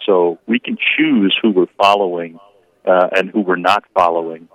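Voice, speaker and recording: An unremarkable speaking voice from a man, fairly low-pitched, at a moderate pace. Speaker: diocesan communications worker. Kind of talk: radio interview. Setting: phone call.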